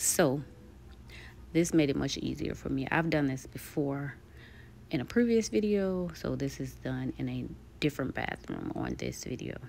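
A woman at a moderate pace, with long, frequent pauses and light background noise. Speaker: home DIY vlogger. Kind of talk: tutorial voice-over narration.

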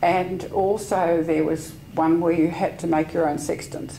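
A woman with an Australian accent and a very deep, low pitch speaks at a fairly slow pace over light background noise. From Australia, Sydney. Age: 70s. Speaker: veteran yachtswoman, club life member. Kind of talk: oral history interview. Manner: halting. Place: home room. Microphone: lapel.

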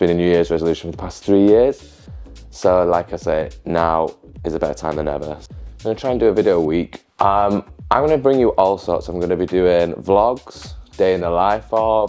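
Faint music plays behind a man with a very deep, low voice and a Yorkshire accent, whose intonation is lively. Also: moderate pace. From Yorkshire, England. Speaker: social media content creator. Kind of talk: casual talk to camera. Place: home room. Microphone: lapel.

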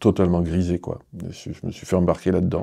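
Against a quiet background, a man talks very fast in a very deep, low voice with a dark, mellow tone. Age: 50s. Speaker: arts centre director. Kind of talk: interview. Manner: hesitant, with many fillers. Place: studio.

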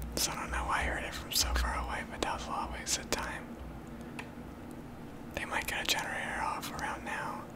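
The pace is moderate. Loud background noise runs under the speech. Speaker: gaming ASMR creator. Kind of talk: ASMR gaming commentary. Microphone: studio mic.

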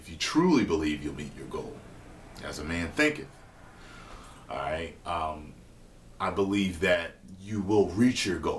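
Over light background noise, a man with a very deep, low pitch speaks at a fairly slow pace with lively intonation and long, frequent pauses. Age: 30s. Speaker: online video host answering viewer questions. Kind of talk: casual advice monologue. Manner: casual, hesitant with fillers. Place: kitchen. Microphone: webcam.

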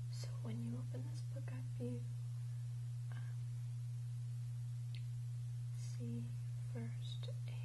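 A woman speaks at a very slow pace. Loud background noise runs behind her. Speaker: product reviewer. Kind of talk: unboxing review talk. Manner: soft-spoken ASMR whisper. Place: home room. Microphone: lapel.

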